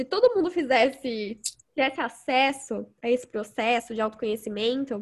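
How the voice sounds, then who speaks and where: This woman has a high-pitched voice. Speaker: podcast host. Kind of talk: casual interview chat. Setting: video call.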